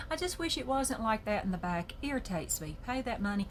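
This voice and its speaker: In a Southern US accent, a woman speaks at a moderate pace, somewhat breathy. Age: 60s. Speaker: journaling video creator. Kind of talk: casual chat. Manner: animated.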